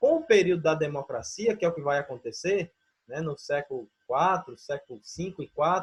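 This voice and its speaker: This man has an ordinary speaking voice with a fairly high pitch and talks at a moderate pace. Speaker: teacher. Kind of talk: online lecture.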